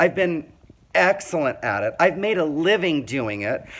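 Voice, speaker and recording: Loud, animated male voice at a high pitch with an American accent, moving at a fairly slow pace. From Indiana, small town. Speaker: vlogger telling life story. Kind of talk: personal monologue.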